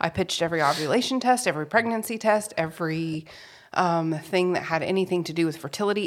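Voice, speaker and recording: Over a silent background on a very clean recording, a woman with a plain, everyday voice speaks in a fairly low pitch with ordinary pitch variation. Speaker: podcast co-host. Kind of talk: casual chat.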